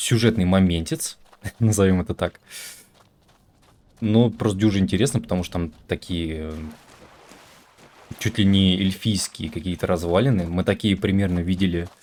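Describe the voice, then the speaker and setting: This man has a very deep, low voice and a moderate pace. He leaves long, frequent pauses. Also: ordinary pitch variation. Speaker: video game streamer. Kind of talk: let's play commentary. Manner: casual, hesitant with fillers.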